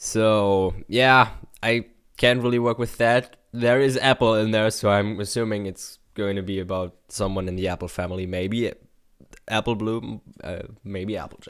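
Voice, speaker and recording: A man speaks with a German accent and fairly even intonation, recorded very cleanly against a silent background. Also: fairly low pitch for a man, fairly slow pace. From Germany. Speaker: YouTube reactor. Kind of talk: reaction commentary. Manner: hesitant, many fillers.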